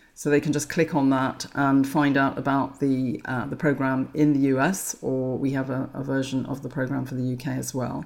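A woman with an English accent speaks at a moderate pace in a very deep, low pitch, monotone and flat, with hardly any pauses. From England. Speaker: menopause author. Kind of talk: interview.

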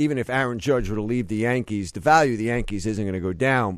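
A man talks at medium pitch with ordinary pitch variation in a normal speaking voice against a quiet background. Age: 50s. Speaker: sports business podcast host. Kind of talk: interview.

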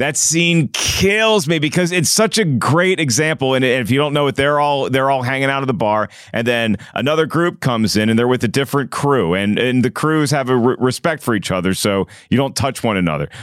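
A man with an ordinary speaking voice talks at a fairly quick pace and a medium pitch, with lively intonation and very even loudness, on a very clean recording with a silent background. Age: 40s. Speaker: podcast co-host. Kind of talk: casual chat.

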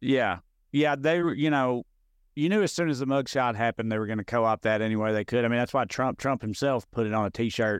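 With a Tennessee accent, a man talks very fast in an intense tone, his loudness very even and his pitch varying in an ordinary way, the sound dry and close with no echo against a quiet background. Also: medium pitch for a man. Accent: Southern US (Tennessee). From rural Middle Tennessee, US South (Clay County). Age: 30s. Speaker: stand-up comedian. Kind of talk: casual interview chat. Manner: can sound combative or intense.

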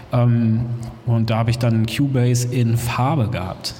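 Speaking fairly slowly, a man is heard with audible room echo and noticeable background noise. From Hamburg, northern Germany. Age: 40s. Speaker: DJ and music producer. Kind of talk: interview before live audience. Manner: halting, many fillers.

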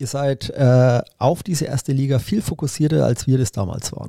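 Dark and mellow in tone, a man's voice comes out somewhat breathy. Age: 50s. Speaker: triathlete and teacher. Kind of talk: casual interview. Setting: studio couch.

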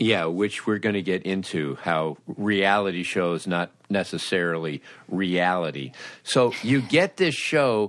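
A man with an American accent speaks at a fairly slow pace. His very deep, low voice carries lively intonation. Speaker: podcast host. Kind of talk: casual interview chat.

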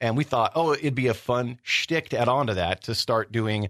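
A man with a normal speaking voice and medium pitch talks at a moderate pace. The sound is dry and close with no echo, against a quiet background. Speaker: former radio producer, editor and waiter. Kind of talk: casual interview chat. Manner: joking, sarcastic.

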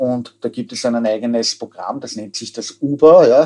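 A dark, mellow tone at a moderate pace, in a Viennese accent. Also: man. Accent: Viennese Austrian German. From Austria, Vienna. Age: 40s. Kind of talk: interview. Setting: remote connection.

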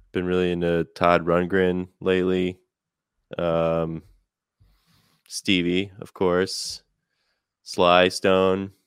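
A man speaks very slowly in a very deep, low voice with flat, monotone intonation and long, frequent pauses, on a very clean recording with a silent background. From Chicago, US Midwest. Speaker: musician. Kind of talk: casual interview.

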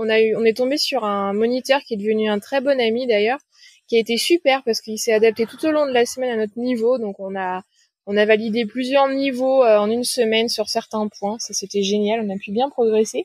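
With a dry, close sound and no echo, a woman talks at a fairly quick pace in an unremarkable speaking voice, fairly high in pitch with fairly even intonation. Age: 30s. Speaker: sailor, liveaboard traveller. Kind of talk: interview.

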